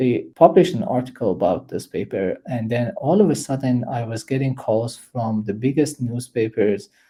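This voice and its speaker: A man with a somewhat breathy, medium-pitched voice talks with lively intonation and hardly any pauses. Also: moderate pace. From eastern Iran. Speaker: computer science professor. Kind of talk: interview. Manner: hesitant with fillers.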